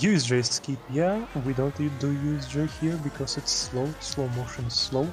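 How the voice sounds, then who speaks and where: Over music in the background, a man speaks at a medium pitch with ordinary pitch variation. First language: German. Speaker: speedrun commentator. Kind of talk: live commentary.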